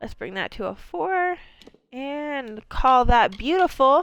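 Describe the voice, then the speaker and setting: With music in the background, a speaker with a slight Maine accent talks in lively intonation. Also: woman. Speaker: video game streamer. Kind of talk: live gameplay commentary. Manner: fast; animated.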